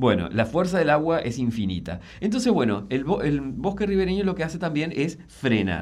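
Audible room echo carries a man's fairly high, fry-edged voice, his pitch swinging very widely at a moderate pace with hardly any pauses. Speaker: landscape designer and environmental columnist. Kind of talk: radio interview column. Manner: halting, with frequent repetitions.

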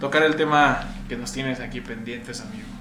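Lively in intonation, a man talks at a fairly quick pace. Room echo and background noise are both noticeable. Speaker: podcast host. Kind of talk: casual chat.

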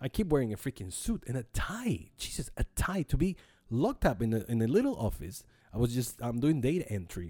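Speaking at a fairly quick pace, a man with a medium pitch and a dark, mellow, somewhat breathy tone makes very wide pitch swings. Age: 40s. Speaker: podcast host. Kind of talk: casual monologue. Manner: halting.

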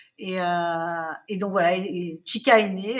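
Fairly even intonation comes from a woman speaking at a fairly slow pace. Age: 50s. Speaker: children's magazine founder and editor. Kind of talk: interview conversation. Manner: hesitant, many fillers and repetitions.

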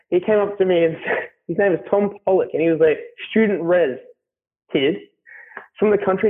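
Speaking with an Australian accent, a man uses a high pitch, ordinary pitch variation and a moderate pace. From Australia, Melbourne. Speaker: carpenter. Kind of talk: casual interview. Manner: loud.

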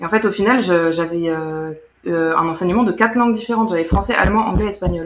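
In an unremarkable speaking voice, a woman talks at a fairly low pitch and a fairly quick pace, with hardly any pauses and ordinary pitch variation. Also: very even loudness. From France, German-French bilingual family. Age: 20s. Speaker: former student of a bilingual school. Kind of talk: casual interview.

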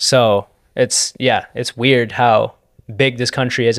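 A man with a plain, everyday voice speaks at medium pitch with fairly even intonation, in a very clean recording with a silent background and a dry, close sound with no echo. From Canada, Toronto. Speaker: podcast host. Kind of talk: casual chat.

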